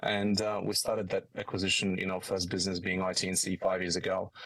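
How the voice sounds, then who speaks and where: A man speaks at a fairly quick pace. He has a strong Polish accent. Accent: thick Polish. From Poland. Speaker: business executive. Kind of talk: podcast interview. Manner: halting, many fillers.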